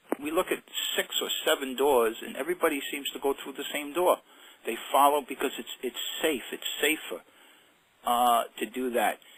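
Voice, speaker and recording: Speaking at a moderate pace and a fairly high pitch, a man uses ordinary pitch variation, with big swings in loudness. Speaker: self-help author. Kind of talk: interview. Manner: animated.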